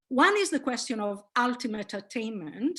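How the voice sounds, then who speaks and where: Against a quiet background, a woman with an Italian accent speaks with lively intonation. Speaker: linguistics professor. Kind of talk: lecture. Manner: hesitant, many fillers.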